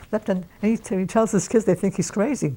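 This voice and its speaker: Very fast delivery comes in a dark, mellow tone. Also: woman. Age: 80s+. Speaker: centenarian storyteller. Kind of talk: interview storytelling. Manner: halting; animated.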